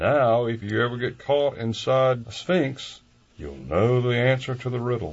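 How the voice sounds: Spoken in a natural reading voice.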